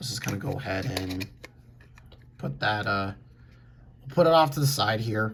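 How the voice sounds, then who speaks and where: A man's somewhat breathy voice, moderate in pace, with ordinary pitch variation. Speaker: die-cast collector reviewer. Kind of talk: casual talk to camera.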